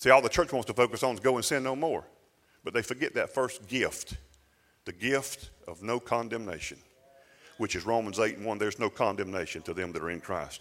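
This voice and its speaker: Speaking fairly quickly with lively intonation, a man uses a medium pitch and a Southern US accent. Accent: Southern US (Georgia). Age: 50s. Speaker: pastor. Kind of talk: sermon.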